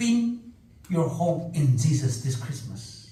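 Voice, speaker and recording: A man's dark, mellow, somewhat breathy voice with audible room echo. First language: Zeme. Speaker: preacher. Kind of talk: sermon.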